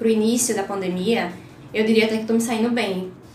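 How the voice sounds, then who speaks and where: A woman speaks in a fairly high pitch. Audible room echo and noticeable background noise surround her voice. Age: 20s. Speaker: law student. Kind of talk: interview. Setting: law office.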